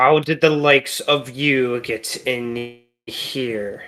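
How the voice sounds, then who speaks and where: A man's put-on character voice, medium in pitch, at a very slow pace. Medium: actual play. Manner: menacing, commanding.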